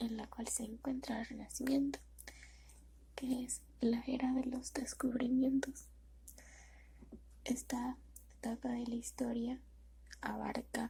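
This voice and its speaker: Soft-spoken, a woman talks at a very slow pace with long, frequent pauses. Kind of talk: soft-spoken ASMR reading of educational history text. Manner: soft-spoken, slow.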